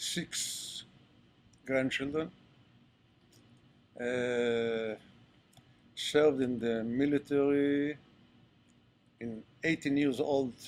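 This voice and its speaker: A man speaks with fairly even intonation. He takes long, frequent pauses. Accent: Israeli. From Israel, Ashkelon. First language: Hebrew. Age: 70s. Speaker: retired army general. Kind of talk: interview talk to audience. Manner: halting, hesitant.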